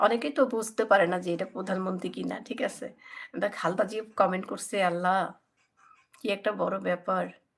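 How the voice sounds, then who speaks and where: Speaking with vocal fry, a woman has a medium pitch and ordinary pitch variation. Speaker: cooking YouTuber. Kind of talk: live stream chat with viewers. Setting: home guest room.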